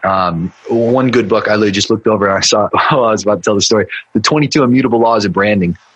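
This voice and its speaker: At a very fast pace with hardly any pauses, a man with a fairly low pitch keeps his loudness very even, his pitch varying in an ordinary way against noticeable background noise. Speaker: marketing agency owner and business mentor. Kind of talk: podcast interview.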